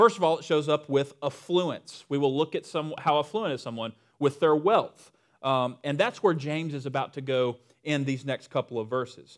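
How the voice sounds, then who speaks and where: A man with a Southern US accent speaks at a moderate pace in a fairly high pitch, with ordinary pitch variation, on a very clean recording with a silent background. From Western North Carolina. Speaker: pastor. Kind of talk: sermon. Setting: church with congregation. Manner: casual, humorous.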